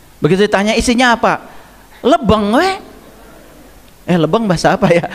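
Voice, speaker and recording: A man's high-pitched voice, heard against noticeable background noise. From Indonesia, Garut (West Java). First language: Sundanese (speaking Indonesian). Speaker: Islamic spiritual teacher. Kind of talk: religious study lecture. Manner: conversational, interactive with audience.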